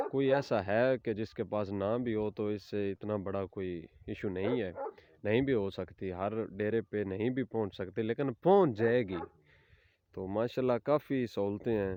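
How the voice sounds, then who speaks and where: In a Punjabi accent, a man speaks with a fairly low pitch. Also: ordinary pitch variation. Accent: Punjabi-accented Urdu. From Punjab, Pakistan. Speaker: village farmer vlogger. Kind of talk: casual talk to camera. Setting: outdoors.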